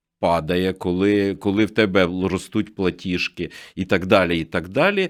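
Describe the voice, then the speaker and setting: A man with a fairly low pitch and an unremarkable speaking voice at a moderate pace, in a very clean recording with a silent background. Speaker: news agency director. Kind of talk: radio interview. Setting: studio.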